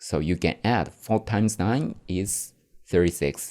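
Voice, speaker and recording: A man speaks very slowly in a very deep, low voice with a dark, mellow tone and a Japanese accent. The recording is very clean, with a silent background. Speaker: podcaster. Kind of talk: casual talk answering viewer questions. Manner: halting.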